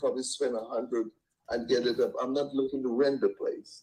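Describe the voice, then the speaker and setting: A man speaks with a Caribbean accent. His pace is moderate. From Trinidad. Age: 60s. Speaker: home seller. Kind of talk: phone call with investor, casual negotiation. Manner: halting, many repetitions.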